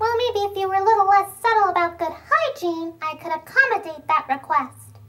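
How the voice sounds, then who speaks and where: This is a cartoonish character voice. It moves at a fairly quick pace. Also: female-sounding voice, extremely high pitch for a woman. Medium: puppet show. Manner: cheeky, hustling, mock-offended.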